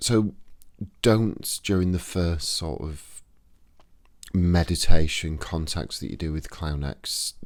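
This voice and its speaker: A man with a Yorkshire accent and a very deep, low voice, speaking at a fairly slow pace. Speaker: occult practitioner, YouTuber. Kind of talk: tutorial. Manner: casual, conversational.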